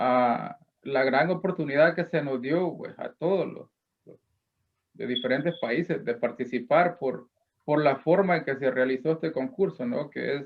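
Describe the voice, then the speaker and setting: A man at a fairly slow pace, with ordinary pitch variation and big swings in loudness. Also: fairly high pitch for a man. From El Salvador. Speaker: poet, contest winner. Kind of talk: acceptance remarks on a broadcast. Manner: halting, repeats words.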